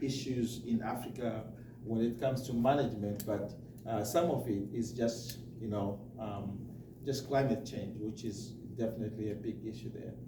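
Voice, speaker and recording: A man talks at a moderate pace with a medium pitch and fairly even intonation. Noticeable background noise and an audible room echo are present. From Zimbabwe. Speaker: charity representative. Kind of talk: presentation talk. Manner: halting, many fillers.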